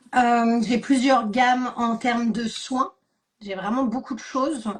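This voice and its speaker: Very slowly, a woman speaks with a high pitch. Her intonation is fairly even. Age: 40s. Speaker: beauty product seller, former dance teacher. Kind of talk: live stream interview. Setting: online live stream.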